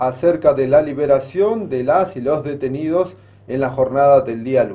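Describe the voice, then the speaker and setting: A man's unremarkable speaking voice, fairly high in pitch, with ordinary pitch variation and a moderate pace. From Argentina. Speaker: news presenter. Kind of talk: news presenting. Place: studio. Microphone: podium.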